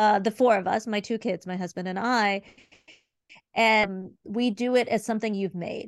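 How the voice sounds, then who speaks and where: Over a quiet background, a woman with an American accent speaks in a plain, everyday voice at a fairly high pitch with fairly even intonation. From US Midwest, Cleveland Ohio. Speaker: museum consultant and art educator. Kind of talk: casual interview. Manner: fast, filler-heavy.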